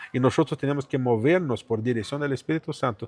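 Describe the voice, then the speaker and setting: A man speaks with a Portuguese accent and lively intonation at medium pitch. The sound is dry and close, with no echo. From Brazil, São Paulo. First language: Portuguese (speaking Spanish). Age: 40s. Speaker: pastor. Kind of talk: testimony.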